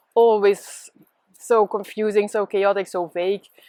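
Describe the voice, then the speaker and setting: A woman with a medium pitch speaks at a fairly slow pace in a very clean recording, the sound dry and close with no echo and the background silent. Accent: Dutch. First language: Dutch. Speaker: spiritual teacher. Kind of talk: casual monologue. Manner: hesitant with many fillers.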